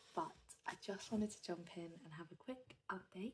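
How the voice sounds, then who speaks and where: Her voice is somewhat breathy, and this woman's pitch varies in an ordinary way. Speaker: musical theatre performer / vlogger. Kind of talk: casual vlog.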